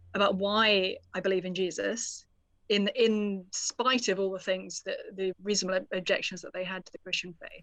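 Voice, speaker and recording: In a British accent, a woman speaks with monotone, flat intonation over a quiet background. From United Kingdom. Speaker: author. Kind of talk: interview.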